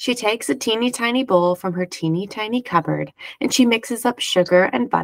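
What comes through is a natural reading voice.

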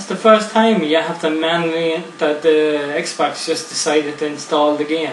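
Talking at a moderate pace with hardly any pauses, a man uses a fairly high pitch with ordinary pitch variation while noticeable background noise runs underneath. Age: 40s. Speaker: gaming YouTuber. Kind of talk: gameplay commentary. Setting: home recording. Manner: casual.

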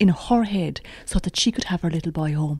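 A woman talks with lively intonation at a moderate pace. Her voice sounds somewhat breathy. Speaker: radio presenter. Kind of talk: interview.

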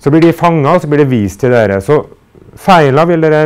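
At a very fast pace, a man with a fairly high pitch talks with lively intonation. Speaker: university lecturer. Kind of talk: lecture.

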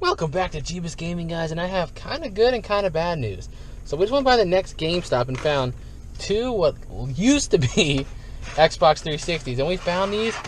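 Lively in intonation and high in pitch, a man talks at a moderate pace over light background noise, the sound dry with no echo. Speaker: dumpster diving vlogger. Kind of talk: casual vlog chat. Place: car. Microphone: phone near.

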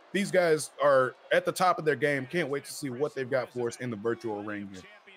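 Talking at a fairly quick pace, the man is heard against noticeable background noise. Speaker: color commentator. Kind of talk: live wrestling commentary. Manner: energetic, enthusiastic, jokey and conversational.

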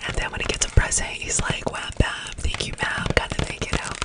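Whispering and soft-spoken, a woman talks at a fairly quick pace. Loud noise sits in the background. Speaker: ASMR creator. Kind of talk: soft casual haul chat. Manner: soft close-mic ASMR whisper. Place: home room. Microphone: studio mic.

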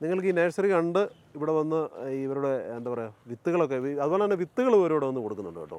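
A man with a normal speaking voice, fairly high in pitch, with lively intonation. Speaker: farming video host. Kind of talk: presenting a farm tour. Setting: outdoors.

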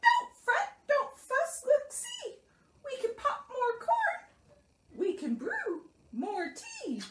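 In a put-on character voice, the speaker talks very slowly at an extremely high, squeaky pitch. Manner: soothing, reassuring.

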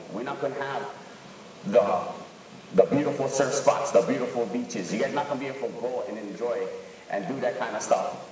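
Room echo is audible, and light background noise sits underneath. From Hawaii. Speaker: local fisherman in documentary. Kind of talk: documentary interview. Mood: earnest, protective. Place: classroom.

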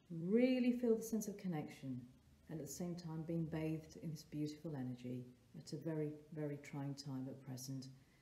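A woman's very deep, low voice, gentle and warm in tone, with lively intonation and audible room echo. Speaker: therapist and meditation guide; meditation guide. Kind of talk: guided meditation. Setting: solo recording for online video. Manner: slow, soft, calming and gentle with long pauses; warm, nurturing, inviting. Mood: calm, gentle, soothing. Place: home room. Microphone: phone near.

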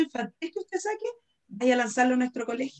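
A woman with a Chilean accent, a fairly high pitch and very wide pitch swings. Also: quiet background. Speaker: science teacher and moderator; science teacher, moderator. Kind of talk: interview moderation. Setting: video call. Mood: warm, enthusiastic. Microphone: video call.

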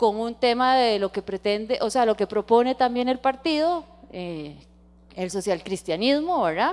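Fairly slow, a woman's fairly high voice moves along. Her pitch swings very widely. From Costa Rica. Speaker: environmental lawyer, guest lecturer. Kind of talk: lecture. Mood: engaged, enthusiastic. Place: hall. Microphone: handheld.

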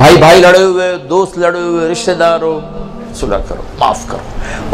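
A man speaks in a high pitch with clear music in the background. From Pakistan. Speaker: Islamic preacher. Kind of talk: religious sermon to a gathering. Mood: warm, persuasive. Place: hall. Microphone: handheld.

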